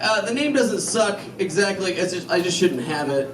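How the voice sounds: With clear background noise behind him, a man speaks with lively intonation.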